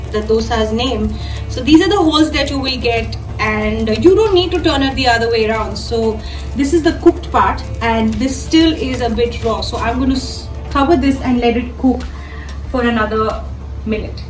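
Music plays clearly in the background as a woman speaks at a moderate pace, with audible room echo. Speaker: food blogger. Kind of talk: cooking tutorial. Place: kitchen. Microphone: phone near.

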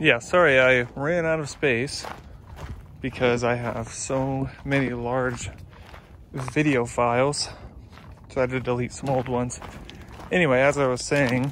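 A man speaks fairly slowly with fairly even intonation and long, frequent pauses. The sound is dry with no echo, over light background noise. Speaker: hiking vlogger. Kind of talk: casual vlog chat. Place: open country. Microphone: phone near.

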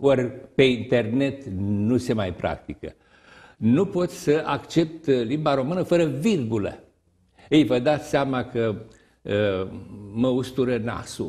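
A very slow voice with lively intonation plays out over a quiet background. The tone is dark and mellow, somewhat breathy. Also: man. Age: 70s. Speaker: retired teacher and writer; retired teacher. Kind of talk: TV interview. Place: studio.

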